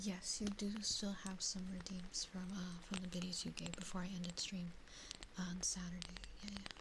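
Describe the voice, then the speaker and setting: Someone soft-spoken talks at a moderate pace with long, frequent pauses, over noticeable background noise. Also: woman. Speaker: VTuber streamer. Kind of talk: live stream chat with viewers, ASMR. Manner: soft-spoken, chatty, comfy.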